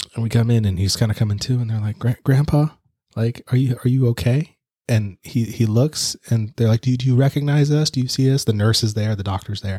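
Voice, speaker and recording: Somewhat breathy, a man speaks at a fairly quick pace. His pitch variation is ordinary. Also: medium pitch for a man, dry, close sound with no echo. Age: 30s. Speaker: podcast co-host, movie reviewer. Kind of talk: casual chat.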